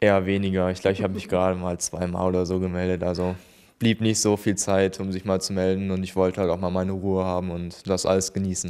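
Over a quiet background, a man speaks very fast in a very deep, low voice, his tone dark and mellow and his intonation flat and monotone. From Germany, Remscheid; Germany. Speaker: paralympic swimmer; interviewee. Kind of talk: interview. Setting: town hall. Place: office. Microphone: handheld.

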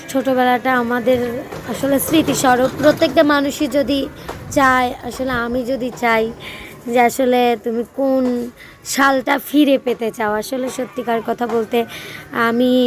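A woman's high-pitched, monotone, flat delivery over noticeable background noise. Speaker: vlogger. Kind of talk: casual vlog monologue. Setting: outdoors. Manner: hesitant, filler-heavy.

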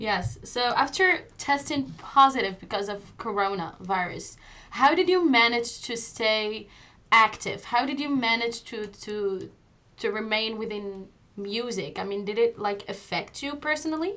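A woman with a fairly high pitch speaks fairly slowly in a bright, sharp tone. Her intonation is lively. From Morocco. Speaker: interview host. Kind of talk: interview. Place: studio. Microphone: studio mic.

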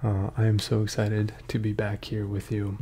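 A man is whispering, soft-spoken. His voice is somewhat breathy. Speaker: ASMR creator. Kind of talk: ASMR casual chat. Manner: soft-spoken, partly whispered. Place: home room. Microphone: earbuds.

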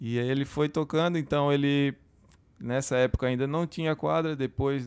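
Here a man is speaking at a moderate pace. His intonation stays fairly even. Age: 30s. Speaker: chef and restaurant owner; podcast guest. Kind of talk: casual interview. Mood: relaxed, friendly. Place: studio. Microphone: studio mic.

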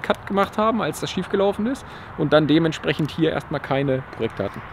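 Light background noise sits behind a man's high-pitched voice, dry with no echo and with ordinary pitch variation. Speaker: car channel host. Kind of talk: casual vlog chat. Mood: cheerful, laughing. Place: street. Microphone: phone near.

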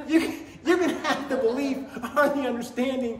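A man's extremely high-pitched voice with lively intonation, in strong room echo

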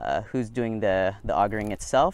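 A man speaks at a moderate pace with ordinary pitch variation, and the sound is dry with no echo. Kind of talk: tutorial. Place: open country. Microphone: lapel.

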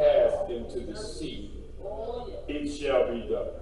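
A man at a very slow pace, with strong room echo and light background noise. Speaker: preacher. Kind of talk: scripture reading in a sermon. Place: church. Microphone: podium.

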